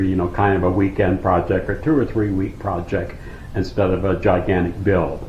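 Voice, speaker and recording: The intonation stays fairly even. Audible room echo surrounds the voice. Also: man. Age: 60s. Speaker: off-grid vlogger. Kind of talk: casual vlog Q and A.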